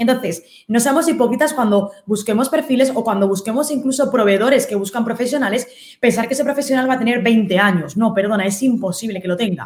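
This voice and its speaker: A woman at fairly high pitch, with ordinary pitch variation and a very fast pace. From Spain. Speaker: digital marketing consultant. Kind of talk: interview.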